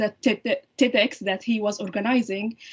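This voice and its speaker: A somewhat breathy woman's voice, fairly high in pitch, with a non-native accent. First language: not English. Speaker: surgeon-scientist and women's heart health advocate. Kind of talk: podcast interview. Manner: halting, many fillers and restarts.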